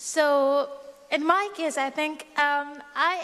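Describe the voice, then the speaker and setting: Speaking at a very slow pace, a woman with an Arabic accent uses a high pitch. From Syria (Aleppo region). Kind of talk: personal testimony.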